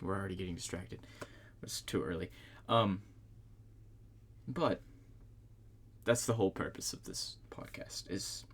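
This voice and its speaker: Speaking with a very deep, low pitch and vocal fry, a man uses ordinary pitch variation and leaves long, frequent pauses. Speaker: solo podcast host. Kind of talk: casual solo podcast chat. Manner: fast; halting, many fillers and restarts.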